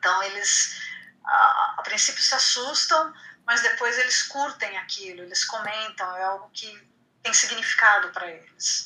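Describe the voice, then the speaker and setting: With an ordinary speaking voice, a woman talks at a fairly slow pace. Her pitch is fairly high, and her intonation is lively. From Brazil, Santos (São Paulo coast). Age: 50s. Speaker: writer. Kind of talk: casual interview.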